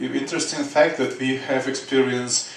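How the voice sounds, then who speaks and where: A man speaks in a flat, monotone way with a Russian accent. The room echo is audible and the background noise is noticeable. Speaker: game developer. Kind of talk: conference presentation. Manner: halting, many fillers.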